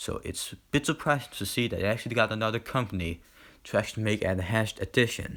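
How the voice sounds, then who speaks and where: Talking at a fairly quick pace, a man is heard. His tone is bright and sharp. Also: very clean recording, silent background. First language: not English. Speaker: gaming YouTuber. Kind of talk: casual video commentary. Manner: halting, many fillers.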